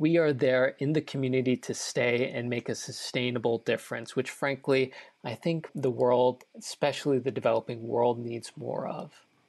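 At a moderate pace, a man with an ordinary speaking voice and a medium pitch speaks with fairly even intonation against a quiet background. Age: 20s. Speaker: nonprofit founder. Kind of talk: interview.

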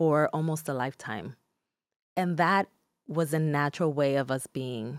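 In a very clean recording with a silent background and a dry, close sound with no echo, a woman with a Spanish accent speaks at a moderate pace in a very deep, low pitch, using ordinary pitch variation and long, frequent pauses. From Newark, New Jersey (Dominican-born). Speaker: psychologist. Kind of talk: interview. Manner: calm, soothing.

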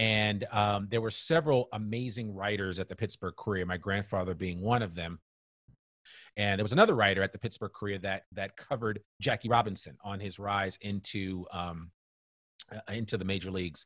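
In a very clean recording with a silent background, a man talks at a fairly quick pace in an ordinary speaking voice, fairly low in pitch, with a dry, close sound and no echo. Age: 50s. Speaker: podcaster and business consultant. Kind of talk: casual interview.

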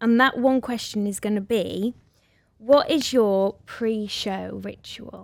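In a Welsh accent, a woman with a fairly high pitch speaks at a very slow pace. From Wales. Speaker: podcast host and musical theatre actress. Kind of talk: casual chat. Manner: animated.

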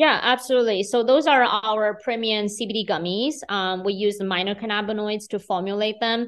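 A woman speaks with a fairly high pitch and fairly even intonation. Her pace is moderate, and the background is quiet. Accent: Chinese. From China, Beijing. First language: Mandarin Chinese. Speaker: business owner. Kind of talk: interview.

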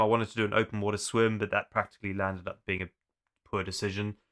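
A man's fairly low, bright, sharp voice at a very fast pace, dry and close with no echo, on a very clean recording with a silent background. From South Africa (Zululand). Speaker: endurance adventurer. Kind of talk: casual chat.

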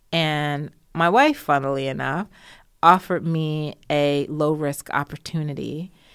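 A woman with an American accent speaks at a fairly slow pace in a very deep, low pitch with fairly even intonation. The recording is very clean, with a silent background. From Jamaica, raised in the US. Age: 40s. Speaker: sociology lecturer and natural beauty business owner. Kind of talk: interview conversation.

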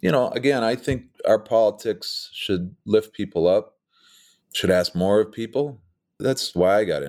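A man with an American accent and an ordinary speaking voice talks at a moderate pace in a medium pitch with ordinary pitch variation, on a very clean recording with a silent background. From Minnesota, rural. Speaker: political campaign strategist. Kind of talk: interview.

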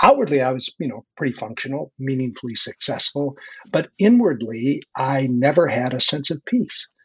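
A man speaks at a moderate pace with ordinary pitch variation and a somewhat breathy quality. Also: fairly high pitch for a man. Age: 60s. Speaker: leadership coach and author. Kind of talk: conversational interview.

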